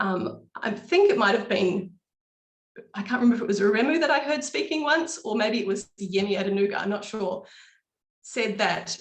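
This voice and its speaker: A woman with a New Zealand accent speaks fairly quickly at medium pitch. Her voice is somewhat breathy, with ordinary pitch variation. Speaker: local party representative. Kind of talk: webinar panel talk.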